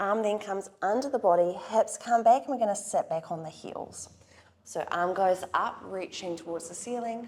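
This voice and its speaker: Speaking at a moderate pace, a woman uses an unremarkable speaking voice. Her pitch is medium, with ordinary variation. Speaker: Pilates instructor. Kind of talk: guided workout instruction. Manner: calm, encouraging.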